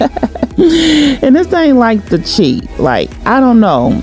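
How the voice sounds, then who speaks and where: Music behind a woman whose pitch swings very widely. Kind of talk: casual talk to camera.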